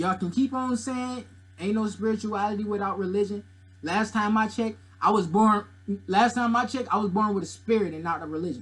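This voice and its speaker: A man's high-pitched, animated voice at a fairly quick pace, with ordinary pitch variation. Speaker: YouTuber discussing religion and mythology. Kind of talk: casual commentary monologue. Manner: loud, yelling.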